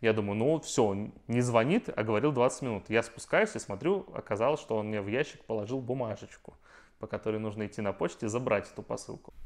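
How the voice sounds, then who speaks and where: Speaking at a fairly quick pace, a man has a medium pitch, ordinary pitch variation, and an unremarkable speaking voice. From Russia. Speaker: IT worker. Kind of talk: casual chat.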